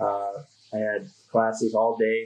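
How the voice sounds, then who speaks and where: A man with a Minnesota accent talks at a medium pitch. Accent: Upper Midwest (Minnesota) American. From Minnesota (Duluth). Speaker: conservation group PR manager. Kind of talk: casual interview. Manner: halting, many fillers and repeats.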